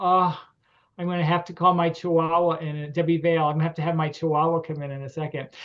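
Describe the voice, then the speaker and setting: A man's high-pitched voice with a Connecticut accent and fairly even intonation, over a quiet background. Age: 60s. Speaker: grange lecturer and event host. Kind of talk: online meeting hosting. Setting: video call. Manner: hesitant, many fillers.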